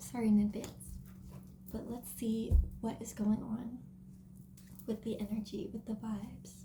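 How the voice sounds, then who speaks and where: A woman speaks quietly. Her speech has long, frequent pauses. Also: fairly slow pace. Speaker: tarot card reader. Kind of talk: tarot reading.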